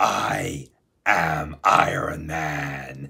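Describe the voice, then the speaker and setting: In a put-on character voice, a man talks with a raspy, very deep, low pitch and a monotone, flat intonation. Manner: spooky, theatrical.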